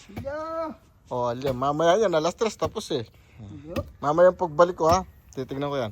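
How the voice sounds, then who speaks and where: A man's high voice with very wide pitch swings, a moderate pace, and long, frequent pauses. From Pampanga, Philippines. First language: Kapampangan (speaking Tagalog). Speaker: construction contractor vlogger. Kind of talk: casual vlog narration. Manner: halting.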